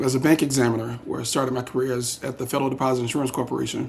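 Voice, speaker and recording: A man speaks in a South Carolina accent at a medium pitch. Noticeable background noise runs behind him. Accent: Southern US (South Carolina). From US South, South Carolina (Darlington). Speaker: political candidate, banker. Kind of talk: candidate interview. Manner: hesitant, many fillers.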